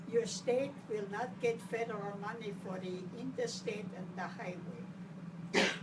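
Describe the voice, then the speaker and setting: A woman with a medium pitch and a somewhat breathy voice speaks at a fairly slow pace with hardly any pauses. Her intonation is fairly even, and audible room echo surrounds her. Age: 90s. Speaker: grassroots activist. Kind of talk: personal account at a meeting. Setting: roundtable meeting with audience.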